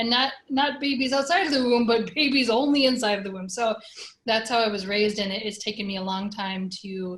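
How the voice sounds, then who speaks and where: A plain, everyday voice with an American accent, fairly quick pace and ordinary pitch variation. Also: woman, fairly high pitch for a woman. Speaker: community organizer. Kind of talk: casual chat.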